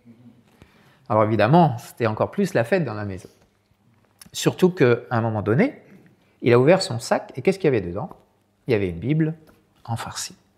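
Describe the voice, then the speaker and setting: A man at a medium pitch speaks with very wide pitch swings, big swings in loudness and long, frequent pauses. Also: moderate pace. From France, Sarthe. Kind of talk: talk with storytelling. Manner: hesitant, many repetitions.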